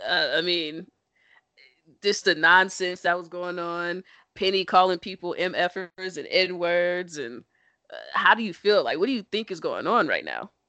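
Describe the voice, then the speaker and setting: A woman's medium-pitched voice, bright and sharp in tone, with ordinary pitch variation, at a fairly slow pace against a quiet background. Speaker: podcast host. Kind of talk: casual banter podcast chat. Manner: playful, joking, animated.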